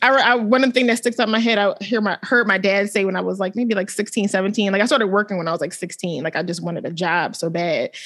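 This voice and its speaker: A woman talks at a fairly quick pace with hardly any pauses. She has a normal speaking voice of medium pitch with ordinary pitch variation. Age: 30s. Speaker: podcast co-host. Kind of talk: casual chat.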